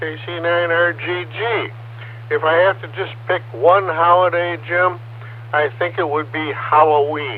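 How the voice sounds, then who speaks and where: Against noticeable background noise, a man with an American accent speaks fairly slowly in a fairly high voice with lively intonation. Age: 70s. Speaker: ham radio operator. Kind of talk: amateur radio net. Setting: radio transmission over repeater.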